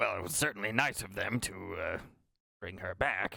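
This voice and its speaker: A man puts on a raspy character voice at a medium pitch. He talks at a moderate pace. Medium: actual play. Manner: formal, measured, hesitant.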